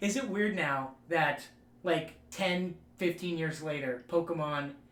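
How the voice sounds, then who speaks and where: There is noticeable background noise and audible room echo as a man speaks at a fairly high pitch with ordinary pitch variation. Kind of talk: casual chat.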